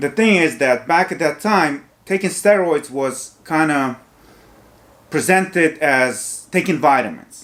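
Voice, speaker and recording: A man's fairly high voice, very slow, with long, frequent pauses and ordinary pitch variation. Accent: Ukrainian. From Ukraine. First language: Ukrainian or Russian. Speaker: fitness youtuber. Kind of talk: casual monologue.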